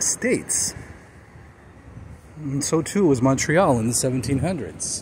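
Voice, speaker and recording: A man speaks with lively intonation. Light background noise sits behind him. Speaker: amateur city tour vlogger. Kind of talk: casual vlog chat. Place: garden. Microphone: phone near.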